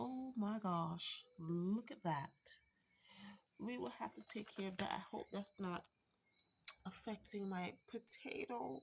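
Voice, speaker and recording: The speech is very slow, with long, frequent pauses and lively intonation. The voice is somewhat breathy. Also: woman, medium pitch for a woman. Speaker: home gardener, channel owner. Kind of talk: garden tour vlog. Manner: casual, hesitant with fillers.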